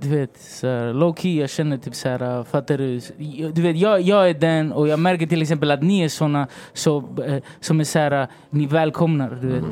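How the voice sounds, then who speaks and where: At a moderate pace, this unremarkable speaking voice shows ordinary pitch variation. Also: man, fairly high pitch for a man. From Sweden, Rinkeby (Stockholm), Chilean family. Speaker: songwriter and rapper. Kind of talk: casual interview chat. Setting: hotel, recording studio-like podcast setup.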